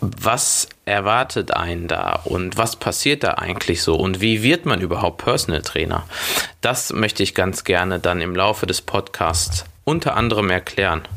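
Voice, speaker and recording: With noticeable background noise behind him, a man with a very deep, low pitch talks at a moderate pace, his loudness very even and his pitch variation ordinary. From Germany, Schwelm near Wuppertal. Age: 20s. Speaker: personal trainer and gym owner. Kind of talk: solo podcast monologue.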